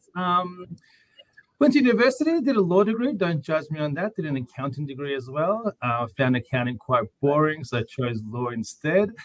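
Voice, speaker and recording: Speaking with an Australian accent, a man moves through very wide pitch swings. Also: moderate pace. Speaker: lawyer and podcast host. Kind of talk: casual interview chat. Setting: video call.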